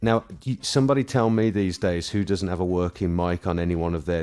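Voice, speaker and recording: In a British accent, a man with a very deep, low pitch talks at a fairly quick pace with ordinary pitch variation, on a very clean recording with a silent background. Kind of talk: casual chat.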